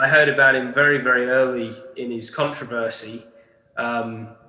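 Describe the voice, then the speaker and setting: A man's medium-pitched voice in a monotone, flat intonation, with audible room echo and noticeable background noise. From Canada, Ontario (Niagara-on-the-Lake). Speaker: discussion group participant. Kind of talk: casual chat. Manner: halting, many fillers.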